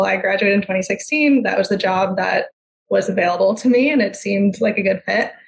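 The woman's voice is somewhat breathy. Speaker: physical therapist and clinic owner. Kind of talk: interview.

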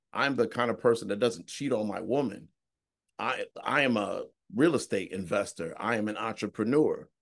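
Against a quiet background, a man talks in a normal speaking voice at medium pitch, with ordinary pitch variation and a moderate pace. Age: 30s. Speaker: real estate investor. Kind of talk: casual chat.

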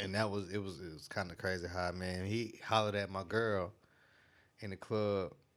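In a very clean recording with a silent background, a man speaks at a moderate pace. His very deep, low voice stays monotone and flat. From Greenville, South Carolina. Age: 30s. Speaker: music producer. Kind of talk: casual interview chat. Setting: studio.

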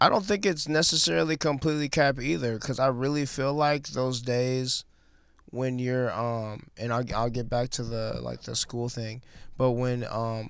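In an American accent, a man with a plain, everyday voice speaks at a moderate pace and medium pitch, with ordinary pitch variation. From Milwaukee, Wisconsin. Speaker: former athlete, clothing creative. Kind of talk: casual chat.

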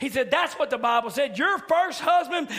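A man talks at a fairly quick pace in an extremely high pitch, his voice raised and projected with an animated tone. Noticeable background noise runs behind him. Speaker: preacher. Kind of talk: sermon. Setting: church midweek service. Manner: animated, exhortative, building to call-and-response style exclamations.

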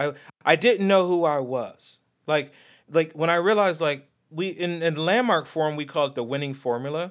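A man with a fairly high pitch speaks in an animated tone at a moderate pace with ordinary pitch variation. The recording is very clean, with a silent background. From US Midwest. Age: 40s. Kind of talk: casual chat. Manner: animated, joking.

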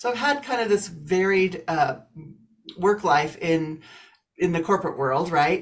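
A woman with an American accent and a normal speaking voice talks at a moderate pace, her pitch fairly low and her intonation lively. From US Midwest, Kansas. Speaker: business coach and author. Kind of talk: interview, casual chat.

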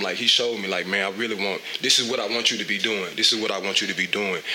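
A man with a Mississippi accent at a very fast pace with fairly even intonation, audible room echo and noticeable background noise. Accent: US Southern, Mississippi. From Mississippi Delta. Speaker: fitness trainer and entrepreneur. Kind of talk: casual interview chat.

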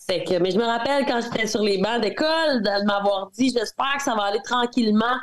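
A woman speaks with a Quebec accent at a fairly quick pace. Her voice is fairly high, with ordinary pitch variation. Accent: regional Quebec. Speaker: country singer. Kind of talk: interview.

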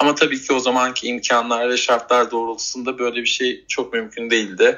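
A man at a medium pitch and moderate pace, with fairly even intonation and noticeable background noise. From Turkey, Bursa. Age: 30s. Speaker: retail worker and animal rescuer. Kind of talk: interview. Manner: halting, many fillers.

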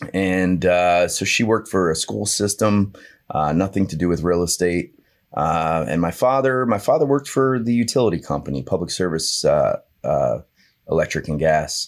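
A man speaks with a New Jersey accent in a very deep, low pitch. The recording is very clean, with a silent background. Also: lively intonation, moderate pace. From New Jersey, Monmouth County Bay Shore. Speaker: real estate agent. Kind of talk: casual interview. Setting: studio.

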